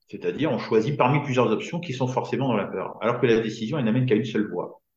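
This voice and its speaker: Somewhat breathy, a man speaks at a medium pitch with ordinary pitch variation. His pace is fairly quick. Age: 50s. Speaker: business coach. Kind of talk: casual chat.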